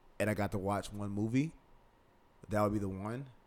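The voice has an American accent. Its intonation stays fairly even. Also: man. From US Midwest, south side of Chicago. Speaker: cinematographer and film editor. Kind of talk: casual chat.

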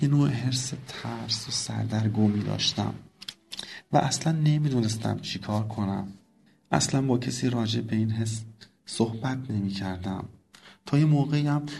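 Man at a medium pitch, somewhat breathy, moderate pace with long, frequent pauses, ordinary pitch variation, audible room echo. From southwest Iran. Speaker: listener sharing coming-out story. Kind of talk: personal testimony voice message.

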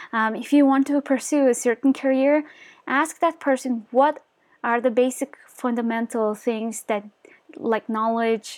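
A fairly high-pitched female voice with a Mongolian accent, fairly slow, with ordinary pitch variation. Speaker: motivational YouTuber. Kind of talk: casual vlog monologue. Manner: hesitant, many fillers.

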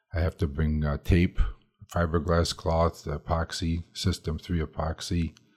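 A man speaks in a very deep, low voice with flat, monotone intonation and a somewhat breathy quality. The recording is very clean, with a silent background. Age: 70s. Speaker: canoe building instructor. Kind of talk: interview.

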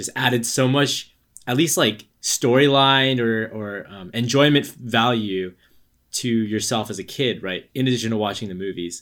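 In a very clean recording with a silent background, a man speaks at a moderate pace and a medium pitch with ordinary pitch variation, in an ordinary speaking voice. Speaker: podcast guest and gamer. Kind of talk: casual chat.

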